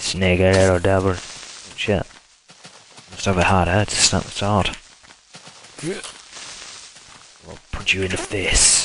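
Over noticeable background noise, a man with a very deep, low pitch talks very slowly in a flat monotone, leaving long, frequent pauses. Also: big swings in loudness. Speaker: gaming YouTuber. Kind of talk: let's play commentary.

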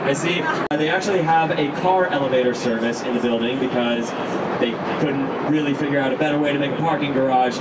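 Loud background noise sits behind a man who speaks very fast, his pitch varying in an ordinary way. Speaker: boat tour guide. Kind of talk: tour commentary. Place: boat.

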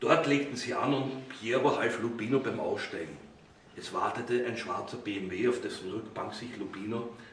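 This is a natural reading voice. It carries the text as written.

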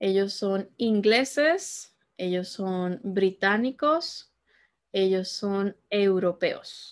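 Very slow speech from a woman at medium pitch, quiet background. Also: ordinary pitch variation. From Peru (Lima). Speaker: Spanish teacher. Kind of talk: language lesson tutorial. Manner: slow, repetitive teaching delivery. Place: home room.

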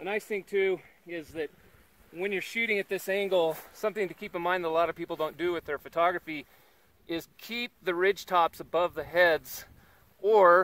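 At a moderate pace, a man speaks in a high voice with fairly even intonation and a dry sound with no echo. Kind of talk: interview answer. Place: open country.

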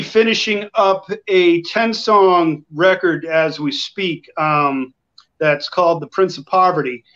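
Very slow speech from a man in a high pitch with an American accent. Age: 40s. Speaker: country-rock singer-songwriter. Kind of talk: casual interview. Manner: halting.

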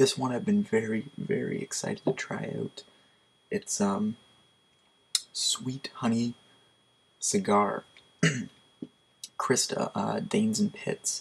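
Quiet, very slow speech with long, frequent pauses. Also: man. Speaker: product reviewer. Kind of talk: casual product review. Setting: at home at night. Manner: quiet, hushed. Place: home room. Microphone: webcam.

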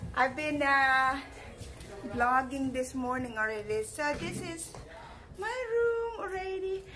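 In a Filipino accent, a woman with a high pitch uses a raised, projected voice, speaking at a very slow pace with long, frequent pauses and very wide pitch swings, amid noticeable background noise and audible room echo. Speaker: vlogger. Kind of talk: casual vlog. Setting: in a car.

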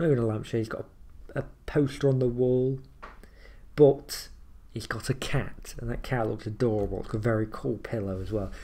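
Somewhat breathy, a man with a dark, mellow tone talks at a fairly quick pace with fairly even intonation. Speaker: reaction video creator. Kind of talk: casual commentary. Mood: amused, joking.

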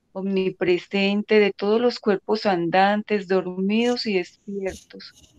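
A woman at a slow pace, medium pitch and fairly even intonation, slightly mellow tone, dry, close sound with no echo

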